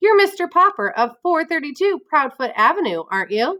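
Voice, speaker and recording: A squeaky, put-on character voice moves at a moderate pace with very wide pitch swings. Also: woman, extremely high pitch for a woman. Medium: read story. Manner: brisk, matter-of-fact.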